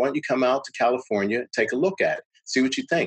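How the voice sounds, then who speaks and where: Lively intonation marks this man's unremarkable speaking voice, which sits at medium pitch and carries an American accent. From Pittsburgh, US. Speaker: television editor. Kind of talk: interview conversation.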